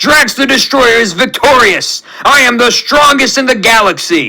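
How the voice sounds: A man puts on a character voice at an extremely high pitch, bright and sharp in tone with vocal fry. His intonation is lively and his pace moderate.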